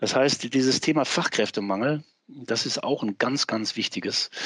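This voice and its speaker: Speaking in a plain, everyday voice, this man keeps to a moderate pace. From Westphalia, Germany. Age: 60s. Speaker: professor and former politician. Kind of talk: interview.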